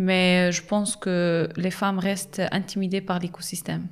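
Somewhat breathy, a woman talks at a medium pitch with monotone, flat intonation. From Morocco, Agadir. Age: young. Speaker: social entrepreneur. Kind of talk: interview. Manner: halting.

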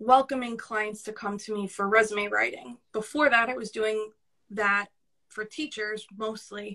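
A woman's fairly high voice in a New York accent, bright and sharp in tone, with fairly even intonation. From Brooklyn, New York. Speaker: podcast guest, career coach.

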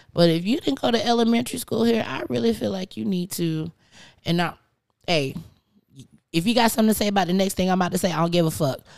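A woman at a medium pitch speaks at a very fast pace with long, frequent pauses. Her tone is animated and her intonation lively. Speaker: podcast co-host. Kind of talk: casual chat.

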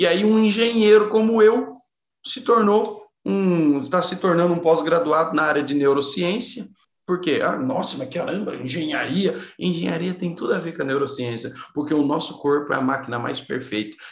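Using lively intonation, a man with a high pitch speaks at a moderate pace amid audible room echo. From Brazil, São Paulo state (Caçapava). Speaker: engineer and neuroscience speaker. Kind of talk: interview conversation.

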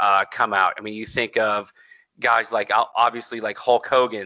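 Speaking at a fairly slow pace, a man uses a monotone, flat intonation with a bright, sharp tone at a medium pitch. The sound is dry and close with no echo, and the background is quiet. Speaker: wrestling podcast host. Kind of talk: casual chat. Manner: talkative, conversational.

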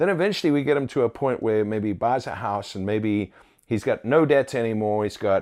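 A man with an unremarkable speaking voice talks at a fairly quick pace in a medium pitch. His pitch variation is ordinary, and the recording is very clean with a silent background. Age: 40s. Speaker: roofing company owner. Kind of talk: interview conversation.

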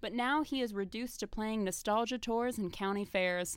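A woman at medium pitch, with ordinary pitch variation and a fairly quick pace, in a very clean recording over a silent background. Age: 20s. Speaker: podcast co-host. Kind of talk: casual chat. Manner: animated.

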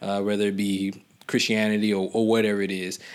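A fairly quick pace with an American accent. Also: man. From US South, Georgia. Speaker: doctoral student. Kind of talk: casual chat. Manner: halting.

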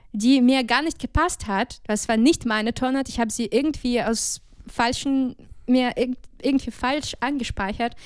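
Against a silent background in a very clean recording, a woman speaks at a high pitch. Her intonation is fairly even and her pace fairly slow. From Ukraine, Odessa region. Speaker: jazz singer and music student. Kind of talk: casual interview.

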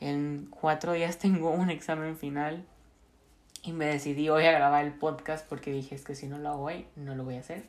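A woman speaks with a very deep, low pitch and monotone, flat intonation. Her pace is moderate, with big swings in loudness. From Mexico, Monterrey. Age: 20s. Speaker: podcast host, university student. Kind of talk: casual monologue.

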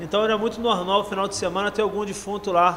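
A man keeps his intonation fairly even and his pace fairly quick, with noticeable background noise behind him. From Rio de Janeiro, Baixada Fluminense. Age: 40s. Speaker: rapper and anti-drug speaker. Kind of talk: casual interview.

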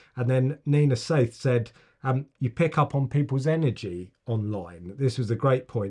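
A man's somewhat breathy voice with an English accent, medium pitch, ordinary pitch variation, and a moderate pace against a quiet background. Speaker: podcast host. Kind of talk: casual chat.

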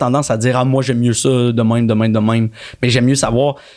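The voice is a plain, everyday voice at a moderate pace. The recording is very clean, with a silent background. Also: man. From Quebec, Montreal. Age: 30s. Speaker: actor. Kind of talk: casual chat.

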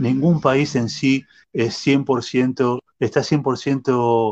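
A man is talking. His voice has a medium pitch. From Argentina, Buenos Aires. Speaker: lawyer and sociology researcher. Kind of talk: interview. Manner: halting, with frequent fillers.

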